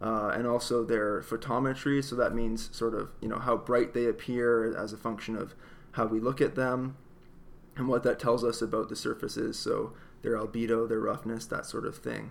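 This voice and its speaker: Speaking in a southern Ontario accent, a man keeps a monotone, flat intonation at a medium pitch and a moderate pace. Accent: southern Ontario Canadian. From Canada, Windsor area across from Detroit. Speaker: planetary scientist. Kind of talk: interview.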